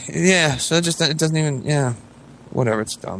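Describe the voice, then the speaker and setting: The speaker moves at a fairly quick pace with ordinary pitch variation. Noticeable background noise runs underneath. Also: man. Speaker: podcast host. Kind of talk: casual chat. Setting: home, kids sleeping nearby. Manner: quiet, holding back volume; halting, many fillers.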